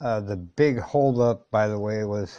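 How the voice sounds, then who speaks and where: A man at a fairly low pitch with ordinary pitch variation, over a quiet background. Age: 60s. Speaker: tech reviewer. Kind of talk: casual vlog. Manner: conversational, with fillers.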